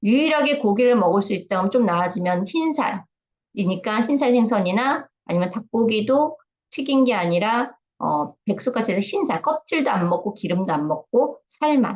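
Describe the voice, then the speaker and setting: The woman's voice is somewhat breathy, and her pitch swings very widely. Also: fairly high pitch for a woman, moderate pace. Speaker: health lecturer. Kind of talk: lecture. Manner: casual, with filler sounds.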